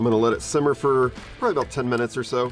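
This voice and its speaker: A man with an American accent at a very fast pace, dry sound with no echo, clear music in the background. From Southeastern North Carolina. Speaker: barbecue cook. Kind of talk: casual cooking talk to camera. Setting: outdoors. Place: garden.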